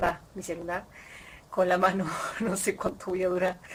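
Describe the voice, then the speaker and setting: Noticeable background noise sits behind a woman speaking in an Argentine accent. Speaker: audiobook reader. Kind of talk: casual talk to camera. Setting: outdoors.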